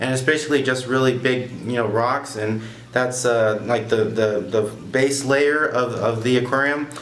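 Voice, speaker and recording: A man at a medium pitch, varying it in an ordinary way, is heard with audible room echo and noticeable background noise. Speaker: aquarium hobbyist vlogger. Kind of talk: casual product review. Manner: loud; casual with many fillers.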